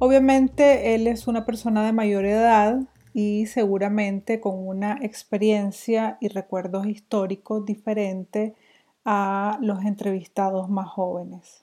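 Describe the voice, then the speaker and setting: A woman with an unremarkable speaking voice at a medium pitch, fairly slow pace and fairly even intonation, in a very clean recording with a silent background. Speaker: podcast host. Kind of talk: scripted narration; casual interview.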